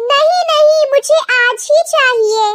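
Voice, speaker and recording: A woman's squeaky, cartoonish character voice at an extremely high pitch, with lively intonation. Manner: coaxing but bossy.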